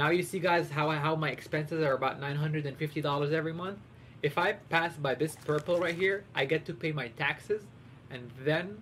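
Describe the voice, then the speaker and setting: Talking at a fairly quick pace, a man with a fairly high voice uses ordinary pitch variation. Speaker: streamer. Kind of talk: live game stream commentary. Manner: fast; animated.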